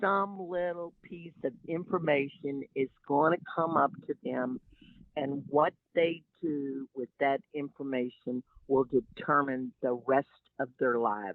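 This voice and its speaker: In a Texan accent, a woman speaks at a very slow pace with a very deep, low pitch and ordinary pitch variation. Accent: Texas Southern. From Texas Gulf Coast. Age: 70s. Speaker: environmental activist and shrimp boat captain. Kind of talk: interview.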